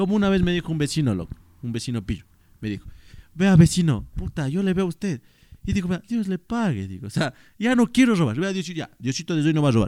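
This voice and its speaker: In an Ecuadorian accent, a man talks very fast in an animated tone, his high pitch swinging very widely. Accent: Ecuadorian accent, liked by co-host. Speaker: podcast co-host, TikToker. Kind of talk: casual chat. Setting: at home.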